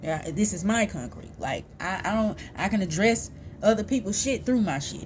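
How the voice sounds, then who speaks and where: Lively intonation and vocal fry mark this woman's medium-pitched voice as she speaks at a moderate pace with an American accent. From US South, Houston, Texas (south side). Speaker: vlogger, mother and peer support specialist. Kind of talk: casual personal vlog monologue.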